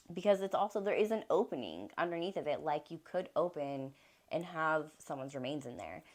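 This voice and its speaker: With vocal fry in her fairly low voice, a woman speaks at a fairly quick pace with lively intonation and big swings in loudness, on a very clean recording with a silent background. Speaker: tarot reader. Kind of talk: tarot reading.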